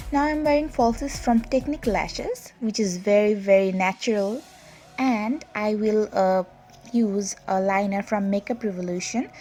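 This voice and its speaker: A woman with a Bangladeshi accent at a moderate pace, fairly high in pitch with ordinary pitch variation, music in the background. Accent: non-native Bangladeshi English. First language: Bengali. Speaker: makeup artist and beauty vlogger. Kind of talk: tutorial. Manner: hesitant with many fillers.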